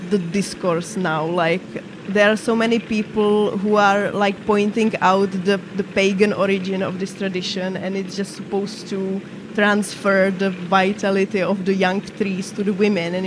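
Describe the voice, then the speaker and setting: A woman's voice in a non-native accent, monotone and flat in intonation, amid noticeable background noise. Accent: foreign. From Czech Republic, Moravia. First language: Czech. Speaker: gaming streamer. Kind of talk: casual chat. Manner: halting.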